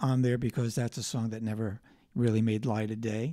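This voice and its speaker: A man with an American accent speaks at a medium pitch in a dark, mellow tone. His intonation is fairly even, and the sound is dry with no echo. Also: quiet background. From New Jersey, US. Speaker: singer-songwriter. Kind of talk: interview. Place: studio. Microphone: studio mic.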